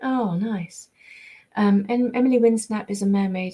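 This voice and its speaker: Speaking at a moderate pace, a woman uses a medium-pitched, somewhat breathy voice with a dark, mellow tone. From England, raised partly in America until about 10. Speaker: voice actress. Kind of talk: live stream chat reading fan comments. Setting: live stream from home. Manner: hesitant, many ums and repetitions.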